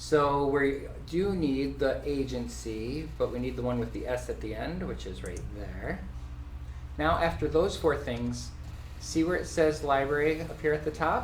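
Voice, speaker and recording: Fairly slowly, a man talks amid audible room echo and noticeable background noise. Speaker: title company representative giving training. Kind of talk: software tutorial / training class. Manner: animated.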